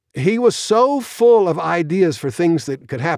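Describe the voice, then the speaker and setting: A man speaks with very wide pitch swings. The sound is dry and close with no echo, on a very clean recording with a silent background. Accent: American. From US, Queens, New York City. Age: 80s+. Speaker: space engineer and science fiction author. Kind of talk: interview storytelling.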